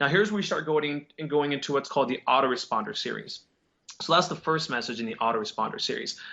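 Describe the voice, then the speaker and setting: Speaking at a very fast pace, a man with a fairly high pitch uses lively intonation. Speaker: digital marketing agency owner. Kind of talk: interview on marketing tips. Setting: video call. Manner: casual, many fillers.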